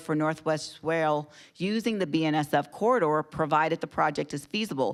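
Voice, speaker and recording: Her voice is very deep and low, with ordinary pitch variation, at a fairly quick pace. The woman is heard on a very clean recording against a silent background. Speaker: transit agency leader. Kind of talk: prepared policy remarks. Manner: fast; formal.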